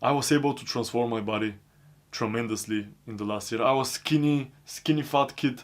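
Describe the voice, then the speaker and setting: Using fairly even intonation, a man with a non-native accent talks at a moderate pace in a medium pitch. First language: not English. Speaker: self-improvement vlogger. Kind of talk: personal monologue. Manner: non-stop talking.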